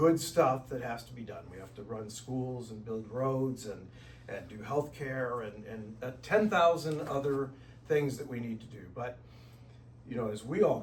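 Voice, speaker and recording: Heard with audible room echo, a man with an American accent speaks at a medium pitch and moderate pace, with ordinary pitch variation and big swings in loudness. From US Midwest, South St. Louis, Missouri. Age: 60s. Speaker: speaker at retreat. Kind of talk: talk to a group. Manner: conversational.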